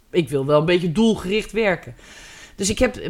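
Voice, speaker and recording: Very wide pitch swings run through a woman's speech in a very clean recording with a silent background. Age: 50s. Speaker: photographer. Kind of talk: casual chat.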